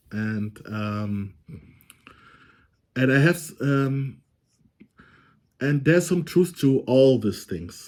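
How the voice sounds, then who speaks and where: A man speaks with a German accent. His intonation is lively. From Germany. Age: 30s. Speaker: vlogger. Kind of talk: casual monologue. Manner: halting, many fillers.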